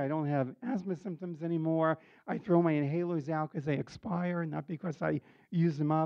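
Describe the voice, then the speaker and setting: A man with an American accent uses a normal speaking voice, fairly high in pitch, at a moderate pace with ordinary pitch variation. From New York City. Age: 60s. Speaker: cancer patient sharing experience. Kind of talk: testimony. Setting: support group meeting with audience.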